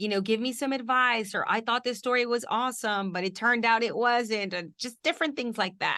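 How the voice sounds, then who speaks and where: Speaking at a fairly quick pace with hardly any pauses, a woman with a Spanish accent uses a fairly high pitch, ordinary pitch variation and a bright, sharp tone. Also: quiet background. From Houston, Texas. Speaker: TV news reporter. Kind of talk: mentoring interview.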